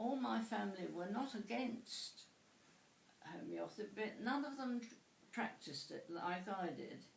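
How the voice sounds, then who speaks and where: With a southern English accent and vocal fry, a woman speaks at a fairly slow pace in a room with audible echo. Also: lively intonation. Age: 80s+. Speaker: interviewee. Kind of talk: interview. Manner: halting.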